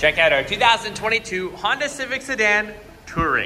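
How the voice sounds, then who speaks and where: A man's raised, projected voice over light background noise. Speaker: car salesperson. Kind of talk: product walkaround commentary. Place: shop. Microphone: phone near.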